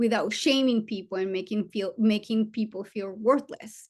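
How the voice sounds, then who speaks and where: A woman's fairly high, somewhat breathy voice with a non-native accent. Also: quiet background. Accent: foreign. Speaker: trauma surgeon. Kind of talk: seminar talk. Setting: virtual seminar.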